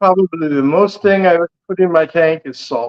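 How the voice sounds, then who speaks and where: Using a plain, everyday voice, a man talks at a moderate speed, his pitch varying in an ordinary way. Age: 60s. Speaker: military retiree and fishkeeper. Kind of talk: casual chat.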